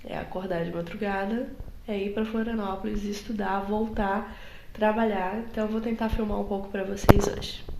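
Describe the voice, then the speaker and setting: Amid noticeable background noise and audible room echo, a woman speaks at a moderate pace with a medium pitch. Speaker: book vlogger and master's student. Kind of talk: casual vlog. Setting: at home in an apartment before dawn. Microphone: poor recording quality.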